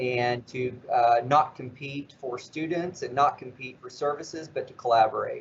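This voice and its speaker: A man with a slight West Virginia accent speaks at a moderate pace with hardly any pauses. His fairly high voice is somewhat breathy, and his intonation is fairly even. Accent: slight southern, West Virginia. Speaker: nonprofit CEO. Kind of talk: interview.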